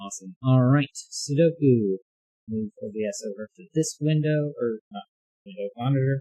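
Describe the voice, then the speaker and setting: Mumbling at a fairly slow pace, a man with a medium-pitched, somewhat breathy voice is heard in a dry, close sound with no echo. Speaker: puzzle game streamer. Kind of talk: casual livestream chat. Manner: halting, many fillers and repeats.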